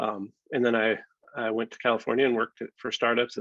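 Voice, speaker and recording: A man speaks at a medium pitch. His pace is very fast. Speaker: software founder and app developer. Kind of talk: presentation to stakeholders. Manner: hesitant, many filler words.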